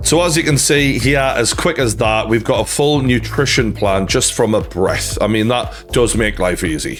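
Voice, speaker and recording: Someone speaks with a Geordie accent as music plays in the background. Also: man, moderate pace. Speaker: boxing YouTuber. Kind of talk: sponsored ad read.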